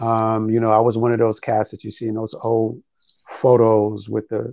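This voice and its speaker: A man with a New York accent speaks in a medium-pitched, dark, mellow tone. His intonation stays monotone and flat, and the background is quiet. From New York City (Harlem, the Bronx). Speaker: spoken word poet. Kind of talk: interview.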